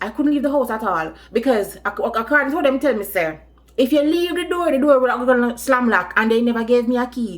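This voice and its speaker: Her pitch is high for a woman. The speaker's pitch variation is ordinary. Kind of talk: storytime, casual talk to camera.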